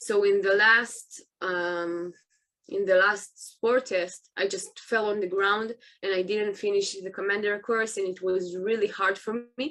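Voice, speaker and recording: A woman with an Israeli accent, medium in pitch, bright and sharp in tone, fairly even in intonation, at a fairly slow pace. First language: Hebrew. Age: 20s. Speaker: soldier. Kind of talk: interview. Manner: halting.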